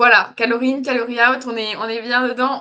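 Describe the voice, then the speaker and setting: Here a woman talks at a high pitch and a fairly quick pace. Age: 20s. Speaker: interview guest. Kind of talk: casual chat. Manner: halting.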